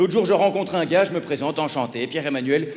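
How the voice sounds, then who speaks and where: An animated man with a Belgian accent speaks at a very fast pace and ordinary pitch variation over noticeable background noise. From Belgium. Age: 30s. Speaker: stand-up comedian. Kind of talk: stand-up. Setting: stage with audience.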